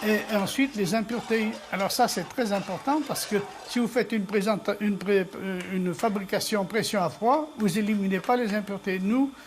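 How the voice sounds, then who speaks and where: Speaking at a moderate pace with ordinary pitch variation, the voice comes through noticeable background noise. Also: woman, medium pitch for a woman. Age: 80s+. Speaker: oil mill artisan. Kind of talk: casual interview.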